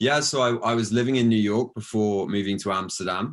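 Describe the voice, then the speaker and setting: Speaking in a British accent at a moderate pace, a man with a fairly low pitch comes through on a very clean recording with a silent background. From southern England, near Brighton. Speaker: founder of a plant-based food company. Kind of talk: interview. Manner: hesitant, many fillers and repeats.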